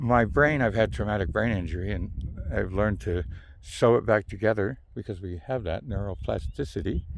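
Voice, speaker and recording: A man's fairly low voice with vocal fry and an American accent, lively intonation, and a moderate pace. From Southern California. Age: 50s. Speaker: video blogger. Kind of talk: casual monologue vlog. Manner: rambling, halting with many fillers.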